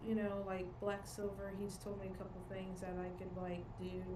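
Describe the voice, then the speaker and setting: Over noticeable background noise and audible room echo, a woman in a Southern US accent speaks at a medium pitch with monotone, flat intonation. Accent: southern US country. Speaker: podcaster guest. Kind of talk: casual chat.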